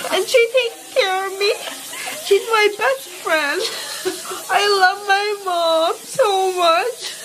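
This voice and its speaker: Over noticeable background noise, a woman speaks at a very slow pace with an extremely high pitch and ordinary pitch variation. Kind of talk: casual vlog chat. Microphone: phone near.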